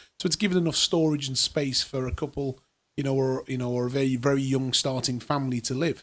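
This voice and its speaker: Here a man speaks in a Geordie accent at a very fast pace. His medium pitch stays in a fairly even intonation. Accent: Geordie (Newcastle) English. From northern England, Newcastle. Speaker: property investor and show host. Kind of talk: casual chat. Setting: studio.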